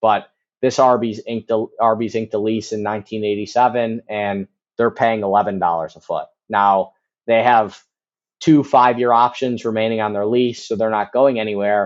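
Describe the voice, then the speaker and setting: A man with an American accent has a plain, everyday voice at medium pitch. He keeps fairly even intonation at a moderate pace. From US Midwest, Chicago. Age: 30s. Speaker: commercial real estate broker. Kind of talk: podcast interview.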